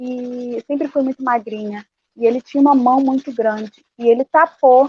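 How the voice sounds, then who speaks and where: In a dry, close recording with no echo, a woman with a high pitch and a dark, mellow tone talks at a moderate pace with fairly even intonation. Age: 30s. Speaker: activist. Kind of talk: testimony.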